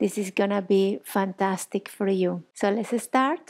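A woman talks at a moderate rate while the background stays quiet. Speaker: yoga instructor. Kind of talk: guided yoga instruction. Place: home room.

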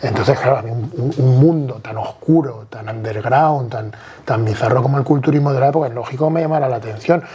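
Fairly quick speech from a man at medium pitch, amid noticeable background noise. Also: ordinary pitch variation. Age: 40s. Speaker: bodybuilder; podcast guest. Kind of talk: casual chat. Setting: at home, on a sofa. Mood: casual, animated. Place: home room. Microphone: lapel.

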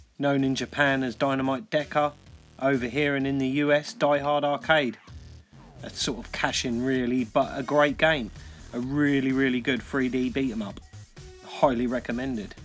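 Faint music sits in the background as a man speaks with fairly even intonation. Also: moderate pace. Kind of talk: casual collection showcase. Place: home room.

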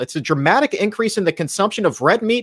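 Against a quiet background, a man's voice makes very wide pitch swings. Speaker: show host. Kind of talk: news headline presentation. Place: home room.

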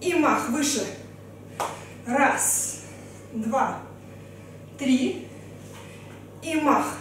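A woman's very slow, high-pitched speech with ordinary pitch variation, light background noise and strong room echo. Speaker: fitness trainer. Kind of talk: workout instruction. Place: home room.

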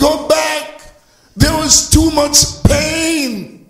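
A man speaks at an extremely high pitch. His tone is animated. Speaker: pastor. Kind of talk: sermon.

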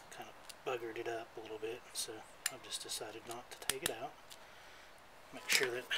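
A man's flat, monotone voice at a medium pitch, fairly quick in pace, with big swings in loudness, long, frequent pauses and loud background noise. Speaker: hobby scooter mechanic. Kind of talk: casual DIY repair tutorial. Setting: outdoors on a porch. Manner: mumbling. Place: garden.

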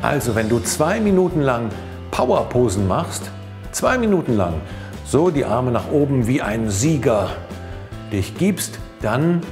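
Clear music runs underneath. Over it, a man talks fairly slowly. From Cologne, Germany. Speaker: professional voice actor and stage-fright coach. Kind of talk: motivational tip talk to camera.

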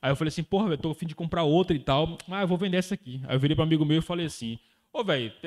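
Against a quiet background, a man with a Brazilian accent speaks in an animated tone with ordinary pitch variation. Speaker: day trader and trading course instructor. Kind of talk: casual group chat on livestream. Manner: slangy, casual and animated. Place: home room. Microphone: handheld.

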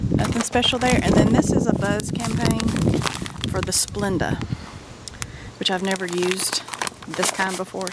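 A woman's voice in a dry sound with no echo, over loud background noise. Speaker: product haul vlogger. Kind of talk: casual vlog chat. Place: garden.

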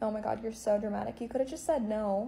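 A woman speaks at a very fast pace. Her tone is dark and mellow, and somewhat breathy. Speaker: comedy skit creator. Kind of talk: acted comedic dialogue, playing both roles. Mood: sarcastic, dramatic, jealous. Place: home room. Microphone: phone near.

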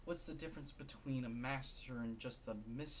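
Speech in a natural reading voice

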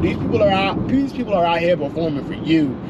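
Someone speaks at a very fast pace over loud background noise. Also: man. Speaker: vlog host. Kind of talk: casual vlog chat. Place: car. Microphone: phone near.

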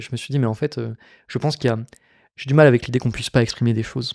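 Against a quiet background, a man speaks at a very fast pace in a medium pitch, his tone dark and mellow. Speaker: podcast host; podcast guest or host. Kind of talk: casual chat. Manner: animated. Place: studio. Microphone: studio mic.

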